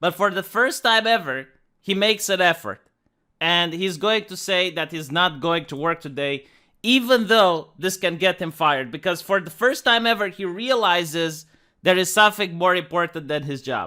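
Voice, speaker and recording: On a very clean recording with a silent background, a high-pitched man talks at a moderate pace in a bright, sharp tone with ordinary pitch variation. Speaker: video commentator. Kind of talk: video commentary.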